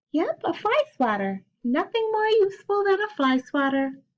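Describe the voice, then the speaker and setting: This woman uses a put-on character voice that is squeaky and extremely high-pitched. Her pitch swings very widely at a moderate pace. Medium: read story.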